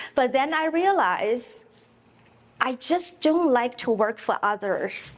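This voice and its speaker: The intonation is lively. The speaker has a Chinese accent. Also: woman. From China. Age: 50s. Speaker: realtor and real estate investor. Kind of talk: keynote speech. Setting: stage with audience. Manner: animated.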